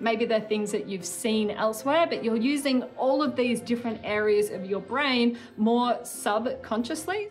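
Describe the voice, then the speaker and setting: Over faint music in the background, a woman speaks with ordinary pitch variation. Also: fairly slow pace. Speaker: remote guest. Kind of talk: explainer to kids. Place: home room. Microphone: phone near.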